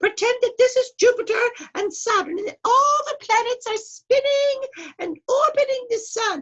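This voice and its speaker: A woman puts on a squeaky character voice at an extremely high pitch. She speaks at a moderate pace. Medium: read story. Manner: stern, rule-bound.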